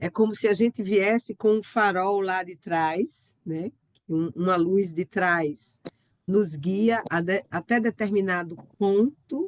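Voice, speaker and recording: A very slow pace in a dry, close sound with no echo. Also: woman, medium pitch for a woman, ordinary pitch variation. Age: 60s. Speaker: physician and biographical counselor. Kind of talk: online talk. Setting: video call.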